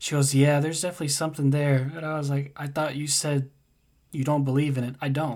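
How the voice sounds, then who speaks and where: On a very clean recording with a silent background, a man with an American accent speaks very fast in a fairly high, monotone, flat voice. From United States. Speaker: podcast guest, friend of host. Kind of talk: casual chat.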